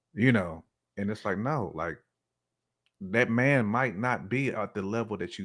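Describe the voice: A man speaks at a moderate pace with lively intonation and a fairly low pitch. The recording is very clean, with a silent background. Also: fairly bright tone.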